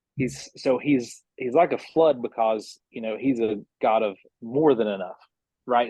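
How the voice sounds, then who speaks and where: With an Appalachian accent, a man speaks at a fairly slow pace in a medium pitch with a dark, mellow tone. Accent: Appalachian mountain. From US South. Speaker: band member. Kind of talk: casual chat. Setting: podcast.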